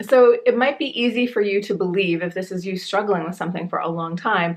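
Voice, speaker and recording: Lively intonation and an animated tone carry this speaker along at a moderate pace. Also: woman. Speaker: spiritual life and business coach. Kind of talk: vlog-style coaching talk to camera.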